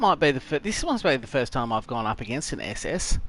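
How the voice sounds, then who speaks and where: A man speaks with an Australian accent and very wide pitch swings. There is noticeable noise in the background. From Tasmania, Australia. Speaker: gaming streamer. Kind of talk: live gameplay commentary. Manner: casual, chatty.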